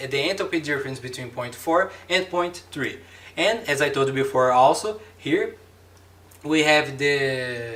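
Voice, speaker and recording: The speaker has a Brazilian accent, and the room echo is audible. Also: man. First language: Portuguese. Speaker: engineering lecturer. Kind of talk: lecture. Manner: halting, many fillers and repetitions.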